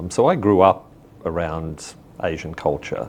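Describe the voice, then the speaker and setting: With an Australian accent, a man with a very deep, low pitch speaks at a very slow pace and with fairly even intonation over noticeable background noise. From Australia, rural northern New South Wales. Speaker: business figure. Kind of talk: interview.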